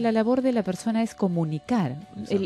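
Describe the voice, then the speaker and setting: Music plays behind a woman speaking at a moderate pace. Her intonation is lively. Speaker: TV news anchor. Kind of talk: interview answer.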